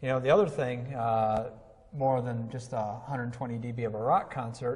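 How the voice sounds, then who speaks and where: At a moderate pace, a man speaks at a medium pitch with audible room echo. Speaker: audio instructor. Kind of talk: instructional conversation. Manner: loud; animated.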